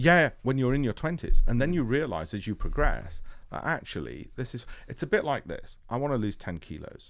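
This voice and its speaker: A man with a Yorkshire accent and vocal fry at a fairly quick pace, with very wide pitch swings and big swings in loudness, in a very clean recording with a silent background. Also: medium pitch for a man. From northern England, Leeds (Yorkshire). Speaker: hedge fund founder. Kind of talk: interview.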